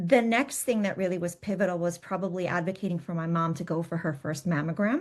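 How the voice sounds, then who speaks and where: Against a quiet background, a woman talks at a very fast pace with hardly any pauses, her fairly low pitch showing ordinary variation. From US, Polish immigrant family. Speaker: patient advocate. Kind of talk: interview storytelling.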